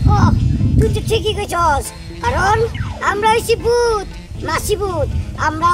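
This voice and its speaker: Clear music plays in the background. Someone speaks in a put-on character voice at an extremely high pitch. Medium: short film. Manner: eager, simple, rustic dialect.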